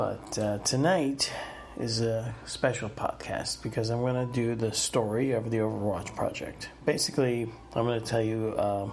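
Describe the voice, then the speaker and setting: A man talks at a very even loudness, with noticeable background noise and audible room echo. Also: medium pitch for a man, fairly even intonation, moderate pace. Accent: American. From US Northeast (New Jersey, Pennsylvania, New York area). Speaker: podcast host. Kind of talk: personal storytelling monologue. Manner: casual, many filler words.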